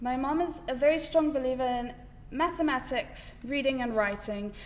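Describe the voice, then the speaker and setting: High-pitched female voice at a moderate pace, ordinary pitch variation, with audible room echo. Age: 20s. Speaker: patient advocate living with TSC. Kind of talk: personal testimony talk.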